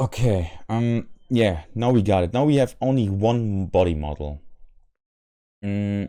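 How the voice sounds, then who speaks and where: Over a quiet background, a man with a fairly low pitch and a dark, mellow tone speaks at a fairly slow pace with lively intonation and long, frequent pauses. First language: not English. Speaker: modding tutorial creator. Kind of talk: software tutorial. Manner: halting, many fillers and repetitions; unscripted. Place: home room.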